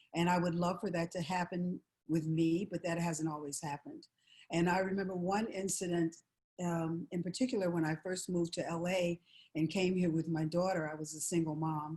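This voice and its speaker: The tone is dark and mellow, somewhat breathy, with an American accent. Intonation stays fairly even, and the pace is fairly quick. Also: woman, fairly low pitch for a woman. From US Midwest, Chicago. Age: 70s. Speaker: session singer. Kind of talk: testimony.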